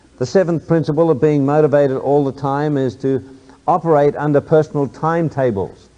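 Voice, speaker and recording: Fairly quick speech from a man, fairly high in pitch, with a dark, mellow tone and ordinary pitch variation. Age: 60s. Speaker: motivational speaker, businessman. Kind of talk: motivational talk to an audience.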